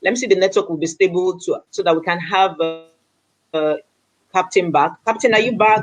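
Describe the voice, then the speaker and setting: Over music in the background, a woman speaks at a medium pitch and a fairly quick pace, her pitch varying in an ordinary way. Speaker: online talk show host. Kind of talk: live online interview. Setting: live video call.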